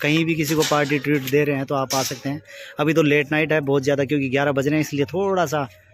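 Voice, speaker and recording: A man talks at a fairly quick pace in a monotone, flat intonation. The sound is dry with no echo, over light background noise. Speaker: vlogger filming his family dinner. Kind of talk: casual vlog chat. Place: cafe. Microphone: phone near.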